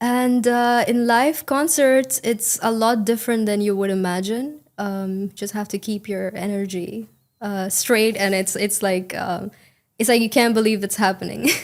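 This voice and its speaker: A woman speaks at a fairly slow pace with an Indian accent. Her pitch is fairly high, with ordinary variation. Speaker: English exam candidate. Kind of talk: speaking exam interview. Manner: uses intonation well; fluent, casual with fillers.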